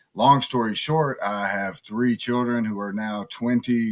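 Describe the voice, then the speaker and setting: There is noticeable background noise as a man speaks at medium pitch with ordinary pitch variation. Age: 60s. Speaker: fan charity founder. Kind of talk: interview. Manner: halting.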